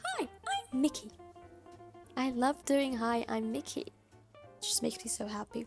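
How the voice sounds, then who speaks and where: With clear music playing in the background, a woman uses a squeaky, high-pitched put-on character voice in a cheerful tone at a moderate pace. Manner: cheerful, happy.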